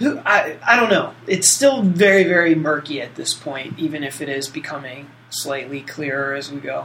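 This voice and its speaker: Against noticeable background noise, a man with a fairly high pitch speaks with hardly any pauses, ordinary pitch variation and big swings in loudness. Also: moderate pace. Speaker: podcast co-host. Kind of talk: casual podcast chat.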